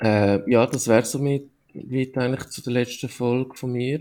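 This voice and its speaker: Speech unfolds at a fairly slow pace. Its tone is dark and mellow. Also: man. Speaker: podcast host. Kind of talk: casual chat.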